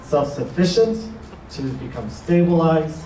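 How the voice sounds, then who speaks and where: Fairly high male speech amid noticeable background noise and audible room echo. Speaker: housing authority official. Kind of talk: ceremony speech. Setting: grand opening event with audience.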